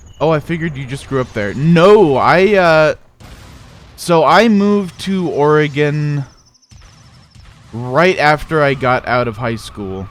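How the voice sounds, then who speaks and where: A man with a slight Midwestern accent, fairly high pitch, and lively intonation at a fairly slow pace, with long, frequent pauses over noticeable background noise. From US Midwest, South Dakota. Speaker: gaming streamer. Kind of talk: casual chat. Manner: halting, many restarts and fillers.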